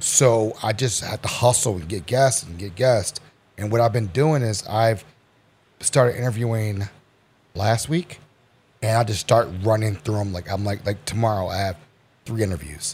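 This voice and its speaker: A man's fairly low, somewhat breathy voice at a moderate pace, with ordinary pitch variation and long, frequent pauses. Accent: American. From Baltimore, Maryland. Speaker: podcaster. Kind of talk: casual chat.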